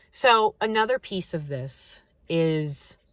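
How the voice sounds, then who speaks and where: Lively intonation carries this voice with an American accent. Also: woman. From Kentucky, US South. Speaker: spiritual content creator. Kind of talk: casual vlog talk to camera. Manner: halting, many fillers and restarts.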